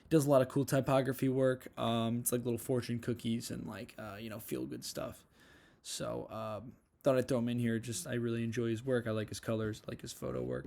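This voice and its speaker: In a very clean recording with a silent background, a dark, mellow voice with an American accent moves at a fairly quick pace, with fairly even intonation and big swings in loudness. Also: man, medium pitch for a man. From US Northeast (Long Island, New York). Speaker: art student. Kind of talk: portfolio self-evaluation walkthrough. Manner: fast; casual, filler-heavy.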